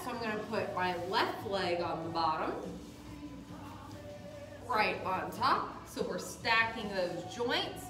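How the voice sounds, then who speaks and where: Very slow speech set against clearly audible background music. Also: woman. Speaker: yoga instructor. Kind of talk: instruction. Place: gym. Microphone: camera far.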